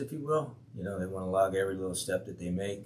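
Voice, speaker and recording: A man with a fairly low voice speaks with lively intonation, and the room echo is audible. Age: 60s. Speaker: fitness trainer vlogger. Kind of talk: casual monologue update. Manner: casual with many fillers.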